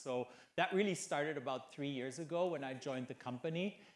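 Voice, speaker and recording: The voice has a German accent and ordinary pitch variation. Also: man. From Germany. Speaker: hotel executive. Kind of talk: conference panel discussion.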